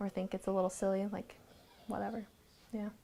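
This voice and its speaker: Soft-spoken and in a monotone, flat intonation, a woman talks at a medium pitch. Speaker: interviewee. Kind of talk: personal storytelling interview. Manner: casual, filler-heavy.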